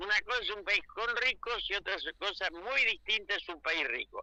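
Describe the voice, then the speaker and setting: Using a raised, projected voice, a man speaks at a high pitch and a fairly slow pace with a bright, sharp tone and lively intonation. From Argentina. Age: 80s+. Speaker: political commentator. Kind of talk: radio interview.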